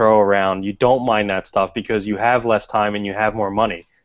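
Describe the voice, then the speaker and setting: Fairly low in pitch, a man with a Philadelphia accent talks at a fairly quick pace. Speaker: podcast co-host. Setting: video call.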